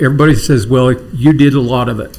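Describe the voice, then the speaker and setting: A man speaks at a moderate pace with a medium pitch. His voice is somewhat breathy, with audible room echo. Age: 60s. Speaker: city council member. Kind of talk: council meeting remarks.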